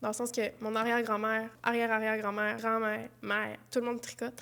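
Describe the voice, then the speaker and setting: A woman with a fairly high pitch speaks at a fairly quick pace. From Quebec, Saguenay. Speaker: YouTuber, knitting and craft vlogger. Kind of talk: casual Q&A vlog. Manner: casual, hesitant with fillers.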